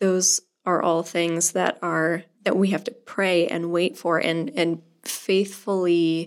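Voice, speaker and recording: A woman speaks very slowly in a fairly low voice, her intonation fairly even. The recording is very clean, with a silent background. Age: 20s. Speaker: youth ministry volunteer leader and pianist. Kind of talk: interview.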